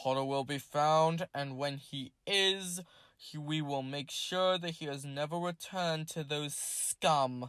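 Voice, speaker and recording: In a very clean recording with a silent background, a man does a growling, put-on character voice at a fairly high pitch and a fairly slow pace. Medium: read story. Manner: stern, commanding.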